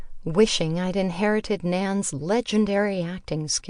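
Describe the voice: The clip consists of plain reading aloud.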